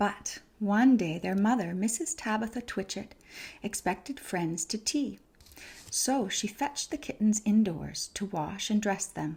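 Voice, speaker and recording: A soft-spoken, somewhat breathy woman's voice at medium pitch, fairly slow in pace, with lively intonation. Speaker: ASMR creator, reading to listener like a mother. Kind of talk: children's storybook reading. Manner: soft-spoken, calming.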